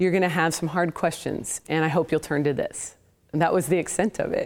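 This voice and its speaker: Speaking with a West Coast accent, a woman comes through on a very clean recording with a silent background. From US Pacific Northwest, Portland, Oregon area. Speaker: apologetics professor and author. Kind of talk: interview testimony.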